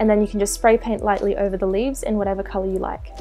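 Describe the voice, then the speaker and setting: With music in the background, a woman speaks in an Australian accent. She talks at a fairly quick pace. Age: 20s. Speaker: DIY craft YouTuber. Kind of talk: craft tutorial voiceover.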